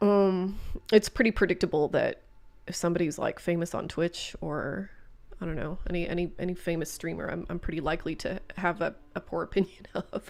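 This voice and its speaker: Speaking at a fairly quick pace, a woman uses a fairly low pitch and fairly even intonation. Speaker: gaming streamer. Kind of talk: live stream chat. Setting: live stream. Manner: loud; halting, many fillers.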